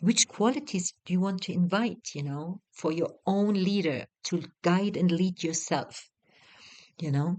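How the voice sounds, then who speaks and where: The speaker has a non-native accent and talks fairly slowly with ordinary pitch variation. The sound is dry and close, with no echo. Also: woman, medium pitch for a woman. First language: not English. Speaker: retreat facilitator and mentor. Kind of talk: guided teaching talk. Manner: hesitant, many fillers.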